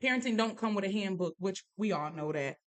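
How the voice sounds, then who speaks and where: A woman's medium-pitched voice with a dry, close sound and no echo. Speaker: podcast host. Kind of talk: casual chat. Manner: loud.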